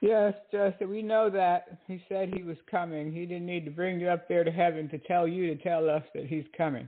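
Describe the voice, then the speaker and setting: At a moderate pace, a woman speaks at a fairly low pitch in a plain, everyday voice. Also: fairly even intonation. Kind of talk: casual commentary monologue. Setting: online radio broadcast with chat room.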